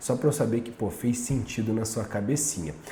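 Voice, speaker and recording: A man with a Brazilian accent talks at a fairly quick pace and medium pitch. Noticeable background noise and audible room echo fill the recording. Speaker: nutritionist and fitness coach. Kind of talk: casual talk to camera. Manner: animated.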